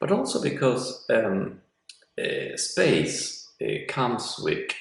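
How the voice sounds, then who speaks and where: Speaking very slowly, a man's voice carries audible room echo. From Italy. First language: Italian. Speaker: professor. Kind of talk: lecture. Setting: online class from an apartment. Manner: halting, many fillers.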